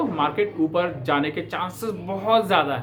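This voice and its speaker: A man speaks with a South Indian accent. His pace is moderate and his intonation lively. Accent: non-native Hindi, South Indian. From South India, Bangalore. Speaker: stock market commentator. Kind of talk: market analysis talk to camera. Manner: hesitant with fillers, Hindi-English code-switching.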